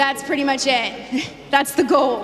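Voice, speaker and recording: A woman with a high pitch speaks in an animated tone. Noticeable background noise and audible room echo surround her voice. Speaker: conference speaker, crypto site founder. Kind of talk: presentation. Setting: stage with audience. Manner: fast.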